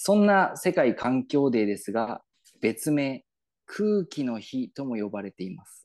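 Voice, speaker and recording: Fairly slow and fairly high-pitched, a man talks in a Yamagata accent with very wide pitch swings and big swings in loudness. The sound is dry and close with no echo, over a quiet background. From Yamagata, Japan. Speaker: podcast co-host. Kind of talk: mock promotional announcement; casual chat.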